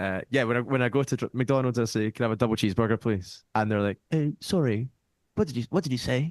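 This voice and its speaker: A man with a Scottish accent talks at a very fast pace, medium in pitch with lively intonation. The sound is dry and close with no echo, against a quiet background. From Scotland. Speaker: folk musician. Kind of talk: casual chat.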